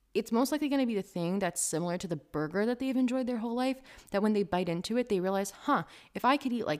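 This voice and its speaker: A woman with an animated tone and ordinary pitch variation on a very clean recording with a silent background. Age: 20s. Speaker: vegan food blogger and podcast host. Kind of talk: casual solo podcast talk.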